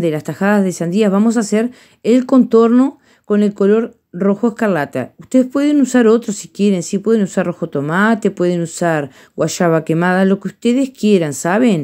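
At a moderate pace, a woman with a medium-pitched voice speaks in a warm, dark, mellow tone, using lively intonation against a quiet background. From Uruguay. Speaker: painting teacher. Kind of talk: tutorial. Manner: warm, affectionate. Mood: warm, affectionate. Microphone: phone near.

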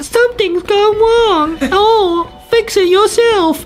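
With clear background noise behind it, a squeaky put-on character voice at an extremely high pitch moves at a very slow pace. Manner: mocking, dismissive.

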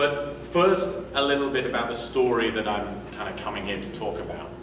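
Noticeable background noise and audible room echo surround a man's voice. His pitch varies in an ordinary way. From UK. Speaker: agile coach and conference speaker. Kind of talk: conference talk. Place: meeting room. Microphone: camera far.

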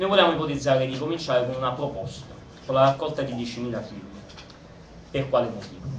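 A man of medium pitch talks at a very fast pace yet with long, frequent pauses. His loudness swings widely, his pitch varies in an ordinary way, and noticeable background noise is present. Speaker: participant with legal/procedural expertise. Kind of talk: public assembly speech.

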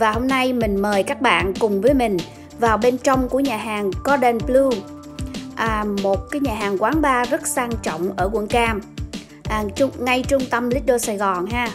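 Over clear music in the background, a woman speaks at a fairly slow pace in a high pitch with ordinary pitch variation. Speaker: vlogger. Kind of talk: casual vlog narration. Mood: cheerful, admiring. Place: bar. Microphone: phone near.

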